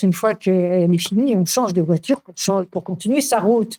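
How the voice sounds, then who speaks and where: A woman's dark, mellow voice at medium pitch, with lively intonation and a moderate pace. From Paris, France. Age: 80s+. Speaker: author on spirituality. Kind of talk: interview. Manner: halting, many hesitations.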